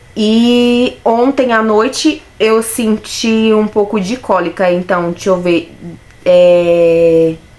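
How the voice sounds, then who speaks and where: A woman's fairly high voice at a very slow pace and very even loudness, with noticeable background noise. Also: ordinary pitch variation. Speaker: vlogger. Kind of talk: personal vlog.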